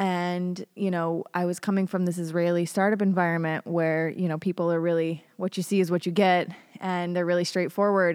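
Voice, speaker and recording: A woman speaks with an American accent at a fairly low pitch. Her intonation is flat and monotone. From US, Colorado. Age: 30s. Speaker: tech industry writer. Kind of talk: podcast interview. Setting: studio.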